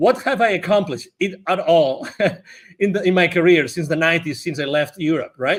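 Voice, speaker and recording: A high-voiced man talks at a fairly quick pace in a very clean recording with a silent background. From Spain, near Barcelona. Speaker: business consultant. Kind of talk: podcast interview.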